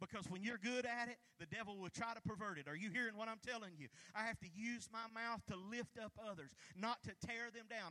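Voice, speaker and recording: A man talks in a raised, projected voice at a high pitch. His pace is fairly quick and his pitch variation ordinary. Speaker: pastor. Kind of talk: sermon; fervent prayer, fervent and pleading, spoken aloud to God in a preaching cadence. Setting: church. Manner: fervent, impassioned, repeating phrases with rising intensity.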